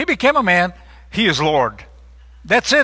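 A man projects his raised voice with a bright, sharp tone and lively intonation at a moderate pace. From Brazil. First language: Portuguese. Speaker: lay preacher. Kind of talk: sermon. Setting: church.

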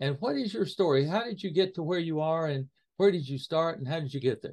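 A man with a plain, everyday voice, fairly high in pitch, at a fairly quick pace with ordinary pitch variation, over a quiet background. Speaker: podcast host interviewer. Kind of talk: interview conversation.

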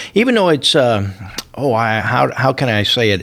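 A man talks at a moderate pace with lively intonation. He has an ordinary speaking voice. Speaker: radio host. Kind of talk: radio dj patter. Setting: radio studio. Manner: warm, jovial, chatty.

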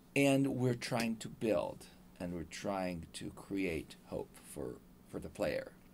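Music plays in the background as a man talks at a very slow pace. He speaks with an Israeli accent. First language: Hebrew. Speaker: video game composer. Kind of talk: interview. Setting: studio.

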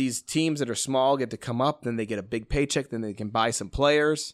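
On a very clean recording with a silent background, a man with an American accent and a plain, everyday voice speaks at a medium pitch and fairly quick pace with ordinary pitch variation, the sound dry and close with no echo. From US Midwest, Chicago suburbs. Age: 40s. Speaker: watch company founder. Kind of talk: casual chat.

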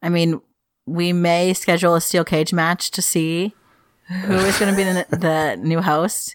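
With little pitch movement, a woman talks at a fairly slow pace in a fairly low pitch.

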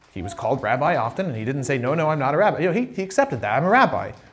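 A man with a somewhat breathy voice and lively intonation. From living in Ireland. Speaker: pastor. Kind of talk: sermon. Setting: church.

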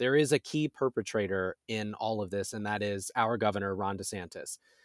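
An unremarkable speaking voice with an American accent moves at a moderate pace with ordinary pitch variation, in a very clean recording with a silent background and a dry, close sound with no echo. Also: man. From US Pacific Northwest, rural Oregon. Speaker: LGBTQ advocacy spokesperson. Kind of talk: interview.

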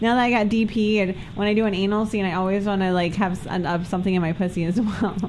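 Over noticeable background noise, a woman with an American accent speaks very fast at a medium pitch. Her loudness stays very even and her intonation fairly even. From New Jersey. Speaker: adult film performer. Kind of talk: casual chat. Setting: studio.

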